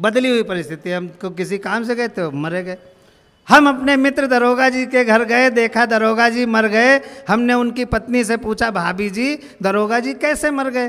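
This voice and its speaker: Against a quiet background, a man with a bright, sharp tone speaks at a fairly slow pace with ordinary pitch variation. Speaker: comic poet performer. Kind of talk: stage comedy storytelling. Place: stage. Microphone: handheld.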